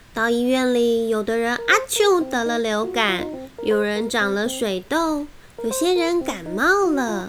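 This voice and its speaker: Over noticeable background noise, a woman speaks at a fairly slow pace in a playful tone. Her pitch is fairly high, and her intonation is lively. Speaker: children's picture book narrator. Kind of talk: reading aloud a children's story. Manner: lively, playful storytelling.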